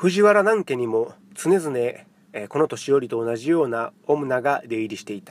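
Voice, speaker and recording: Speaking in a Kansai accent, a man with a fairly high pitch talks at a moderate pace, his pitch swinging very widely and his loudness shifting a great deal. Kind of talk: literary audiobook reading.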